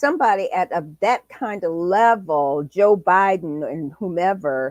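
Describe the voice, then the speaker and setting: At a very slow pace, a woman speaks with an American accent, the sound dry and close with no echo. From US Midwest (South Bend, Indiana). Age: 70s. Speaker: talk show host. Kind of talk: interview.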